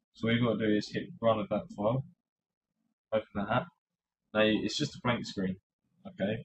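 A man with a British accent, medium pitch, and lively intonation, somewhat breathy, at a fairly quick pace broken by long, frequent pauses. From UK. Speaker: tech tutorial YouTuber. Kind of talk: tutorial. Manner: casual with frequent fillers and hesitations.

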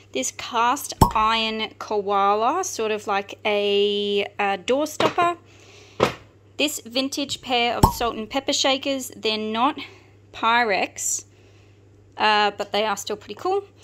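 A woman at a very slow pace, over noticeable background noise. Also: lively intonation. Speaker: online reseller. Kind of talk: casual haul show-and-tell. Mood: upbeat, enthusiastic. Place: home room. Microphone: phone near.

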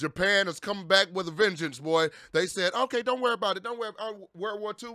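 A man's raised, projected voice with a bright, sharp tone, at a fairly quick pace over a quiet background. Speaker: streamer. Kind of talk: casual vlog chat. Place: home room. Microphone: studio mic.

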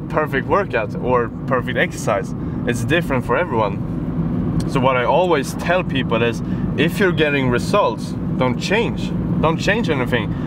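Loud background noise behind a man, the sound dry with no echo. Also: moderate pace. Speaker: fitness vlogger. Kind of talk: casual vlog chat. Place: car.

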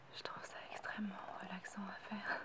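Over loud background noise, a soft-spoken voice whispers at a fairly quick pace. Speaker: ASMR content creator. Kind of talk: soft ASMR talk. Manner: soft whispered close-mic French.

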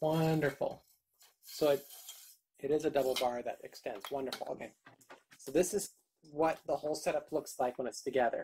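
A woman speaks at a moderate pace, leaving long, frequent pauses over light background noise. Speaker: YouTuber doing product unboxings. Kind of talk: unboxing video. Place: home room. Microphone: phone near.

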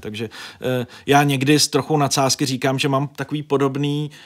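Over a quiet background, a man speaks in a monotone, flat way. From northern Bohemia, Děčín; northern Bohemia. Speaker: journalist and editor-in-chief; journalist. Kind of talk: interview. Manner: talkative, rambling with fillers. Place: studio. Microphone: studio mic.

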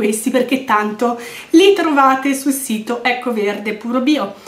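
Lively intonation from a woman at a high pitch, moderate in pace, with noticeable background noise behind her. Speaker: beauty vlogger. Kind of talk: product review monologue.

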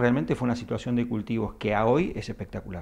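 The voice has noticeable vocal fry. The background is quiet. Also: man. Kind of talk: interview answer. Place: office. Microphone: handheld.

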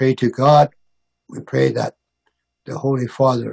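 A man talks at a medium pitch with a monotone, flat delivery. His voice is somewhat breathy over a quiet background. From Northwest Territories, Canada. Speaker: First Nations regional chief. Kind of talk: press conference. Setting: video call. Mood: earnest, hopeful. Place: home room. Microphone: video call.

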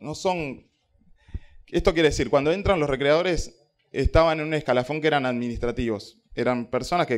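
A man at a moderate pace. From Uruguay. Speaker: local government recreation coordinator; panelist. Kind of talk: panel talk. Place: classroom. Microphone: handheld.

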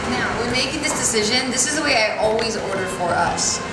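Loud background noise fills the clip. A woman talks at a fairly quick pace with ordinary pitch variation. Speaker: vlog host. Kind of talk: casual vlog chat. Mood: playful and upbeat. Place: cafe. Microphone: phone near.

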